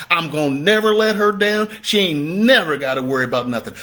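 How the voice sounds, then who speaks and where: Raising and projecting his voice, a man speaks with high pitch, an animated, bright, sharp tone, and lively intonation. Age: 60s. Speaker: real estate investor and coach. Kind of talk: motivational talk.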